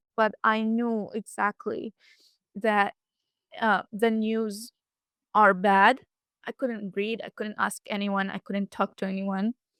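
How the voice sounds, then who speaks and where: In an Arabic accent, a woman speaks very slowly with monotone, flat intonation, in a dry, close sound with no echo. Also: very clean recording, silent background. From Gaza Strip, Rafah and Gaza City. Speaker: student. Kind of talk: interview testimony. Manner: halting.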